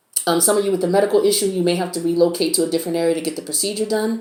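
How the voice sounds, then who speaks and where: Noticeable background noise sits behind a woman speaking in a flat monotone. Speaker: tarot reader. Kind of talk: tarot reading.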